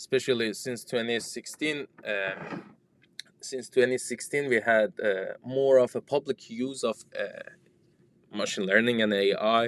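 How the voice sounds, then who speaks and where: A man with a non-native accent speaks at a fairly slow pace and a medium pitch, with ordinary pitch variation and a dry, close sound with no echo. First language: not English. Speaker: startup founder and software developer. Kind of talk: interview conversation. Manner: halting, with repetitions.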